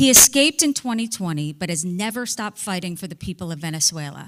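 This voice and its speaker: A woman with an unremarkable speaking voice and fairly low pitch talks at a moderate pace with lively intonation. The recording is very clean with a silent background, dry and close with no echo. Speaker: moderator, former news anchor. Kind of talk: speaker introduction. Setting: stage with audience.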